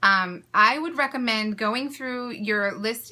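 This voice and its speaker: Enthusiastic and fairly high-pitched, a woman speaks. She has an American accent. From US West Coast, California. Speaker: small business owner and social media creator. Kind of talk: live-streamed tutorial. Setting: live video broadcast from home. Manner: fast talker; enthusiastic, chatty. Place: home room. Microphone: phone near.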